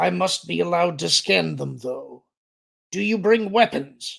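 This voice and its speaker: A man puts on a gravelly character voice. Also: fairly high pitch for a man, moderate pace. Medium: read story. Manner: terse, formal.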